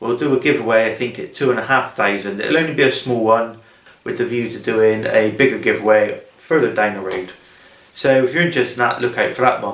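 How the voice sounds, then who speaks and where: In a Bristolian accent, the speaker talks at a fairly quick pace with ordinary pitch variation. Room echo is audible. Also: man, medium pitch for a man. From England, Bristol area (South Gloucestershire). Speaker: DIY woodworking YouTuber. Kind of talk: casual vlog. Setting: in a car.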